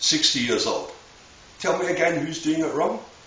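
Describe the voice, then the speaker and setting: Audible room echo surrounds a man speaking at a moderate pace. Noticeable background noise is present. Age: 60s. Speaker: bodybuilder. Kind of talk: tutorial. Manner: blunt and informal.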